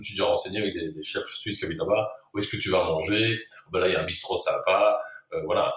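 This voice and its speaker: Very rapid male speech marked by large shifts in volume. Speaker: chef. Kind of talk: interview. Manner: hesitant, repeats words.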